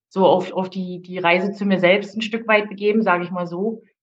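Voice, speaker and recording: This woman talks at a moderate pace in a medium pitch, her intonation fairly even. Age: 40s. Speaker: coaching client, single mother. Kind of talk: personal testimony. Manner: halting, many fillers.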